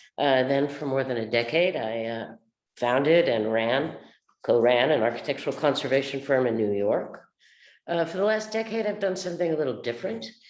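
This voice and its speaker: A woman with a very deep, low pitch speaks at a fairly quick pace with very wide pitch swings and audible room echo. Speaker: architectural conservator. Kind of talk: panel webinar.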